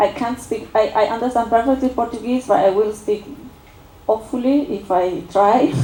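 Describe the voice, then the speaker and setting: Noticeable background noise sits behind a woman with an Argentine accent whose fairly high pitch shows ordinary variation. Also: moderate pace. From Argentina. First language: Spanish. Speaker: political science researcher. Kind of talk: academic seminar talk. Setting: university seminar with audience. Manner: halting, many fillers.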